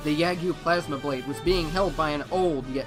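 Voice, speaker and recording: Music plays in the background as a man speaks at a fairly quick pace and a fairly high pitch with ordinary pitch variation. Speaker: voice actor. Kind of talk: dramatic story narration.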